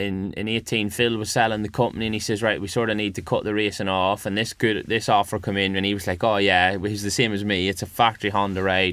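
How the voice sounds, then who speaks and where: Very fast and with hardly any pauses, a man speaks in a fairly low, bright, sharp voice. His intonation is flat and monotone, on a very clean recording with a silent background. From Northern Ireland. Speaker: motorcycle road racer. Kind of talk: casual interview.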